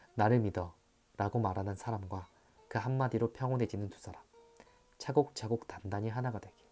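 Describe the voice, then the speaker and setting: A fairly low-pitched man at a fairly quick pace with long, frequent pauses, ordinary pitch variation and big swings in loudness, music in the background. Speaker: actor. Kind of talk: audiobook essay reading.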